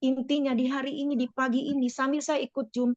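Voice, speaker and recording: A woman's high-pitched, monotone voice with flat intonation, recorded dry and close with no echo. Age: 50s. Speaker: business network leader sharing testimony. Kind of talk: testimony.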